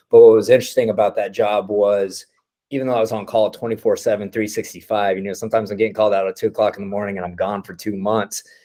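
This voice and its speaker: With a Texan accent, a man talks at a very fast pace. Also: big swings in loudness. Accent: Texan American. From Texas, Midland. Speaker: oilfield entrepreneur. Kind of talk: informal talk to a group. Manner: casual, unscripted.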